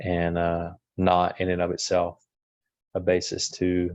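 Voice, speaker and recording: The man's pitch is very deep and low. His intonation is monotone and flat. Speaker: family law attorney. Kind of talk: lecture. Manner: slow.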